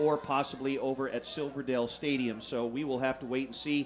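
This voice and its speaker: Crowd noise fills the background as a man talks at a moderate pace. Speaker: play-by-play announcer. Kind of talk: sports commentary.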